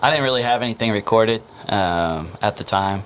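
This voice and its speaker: Moderate-paced speech with an American accent and ordinary pitch variation, over noticeable background noise. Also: man. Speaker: band lead singer. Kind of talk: casual interview. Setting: podcast studio.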